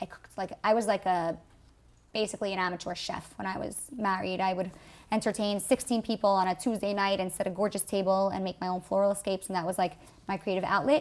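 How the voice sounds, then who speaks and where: Very fast and at medium pitch, a woman talks in a New York accent with fairly even intonation. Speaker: artist. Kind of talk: interview.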